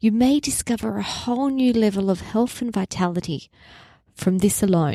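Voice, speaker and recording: Here a woman talks at a moderate pace with an Australian accent, a medium pitch and ordinary pitch variation, her tone dark and mellow. The recording is very clean with a silent background and a dry, close sound with no echo. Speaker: naturopath podcast host. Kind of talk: health podcast monologue.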